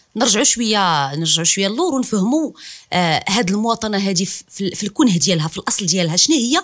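A woman's voice at a very fast pace, with very wide pitch swings. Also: medium pitch for a woman. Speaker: podcast host. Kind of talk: interview.

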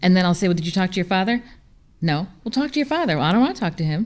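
Very fast speech from a woman with an American accent, medium in pitch with very wide pitch swings, on a very clean recording with a silent background. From upstate New York. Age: 40s. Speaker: business consultant. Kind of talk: panel discussion.

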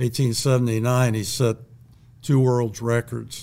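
Speaking with an Ohio accent, a man has a dark, mellow tone at a medium pitch and a monotone, flat intonation. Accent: Ohio, general American. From Bellbrook, Ohio. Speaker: retired teacher, local historian. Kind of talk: casual interview, storytelling.

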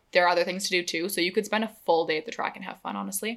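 In a very clean recording with a silent background, a woman speaks at a medium pitch with ordinary pitch variation, an unremarkable speaking voice. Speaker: podcast co-host. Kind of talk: casual chat.

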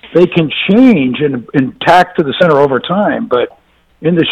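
With an American accent, a man speaks in a plain, everyday voice, fairly high in pitch with lively intonation. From US South. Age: 60s. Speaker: former government official. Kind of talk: panel discussion.

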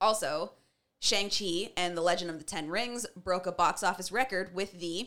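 Moderate pace and medium pitch from a woman with a plain, everyday voice. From Canada. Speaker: podcast host. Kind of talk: casual chat.

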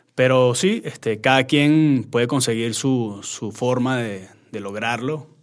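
Very slow speech from a man, medium in pitch and ordinary in pitch variation. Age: 30s. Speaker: chef and social media content creator. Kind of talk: casual interview.

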